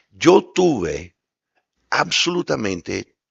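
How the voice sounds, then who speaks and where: With an English accent, this speaker shows ordinary pitch variation. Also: man. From US, New York. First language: English (speaking Spanish). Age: 60s. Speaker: former diplomat. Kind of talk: panel discussion. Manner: loud.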